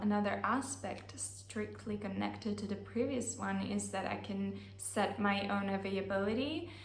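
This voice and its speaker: Noticeable background noise and audible room echo accompany a woman talking at a moderate pace. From Italy. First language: Italian. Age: 20s. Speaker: online language teacher. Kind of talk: vlog monologue. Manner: casual, with many fillers.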